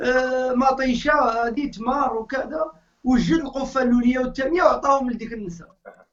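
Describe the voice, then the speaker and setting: A man speaks at a moderate pace with ordinary pitch variation. His pitch is extremely high for a man. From Morocco. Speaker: Islamic preacher. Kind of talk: interview, storytelling.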